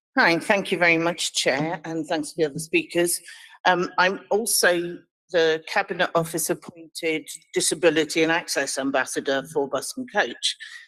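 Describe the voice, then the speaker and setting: Here is an ordinary speaking voice at a moderate pace. Its pitch variation is ordinary. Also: woman, fairly low pitch for a woman. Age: 60s. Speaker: charity chief executive. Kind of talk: committee presentation.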